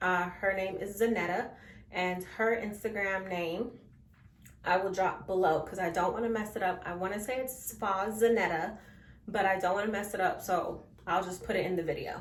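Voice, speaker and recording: Audible room echo surrounds a woman speaking at a moderate pace with a medium pitch and fairly even intonation. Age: 20s. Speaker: beauty vlogger. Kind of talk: casual vlog talk to camera.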